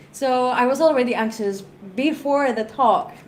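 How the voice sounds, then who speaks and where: A woman's high voice at a fairly slow pace, with audible room echo. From Greece. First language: Greek. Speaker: tech conference speaker. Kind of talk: panel discussion.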